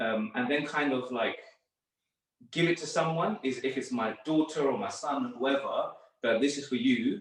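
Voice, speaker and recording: A man's fairly high voice in a London accent, at a moderate pace with ordinary pitch variation. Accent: London English, multicultural. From northwest London. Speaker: sports therapist. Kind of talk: podcast interview. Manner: casual, hesitant with fillers.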